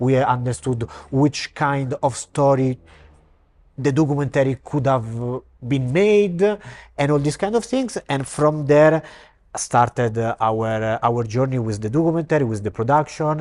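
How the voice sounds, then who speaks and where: A man with an Italian accent speaks at a moderate pace and a medium pitch, with ordinary pitch variation and long, frequent pauses. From Italy, Rome. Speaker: actor and film director. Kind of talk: interview. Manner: halting.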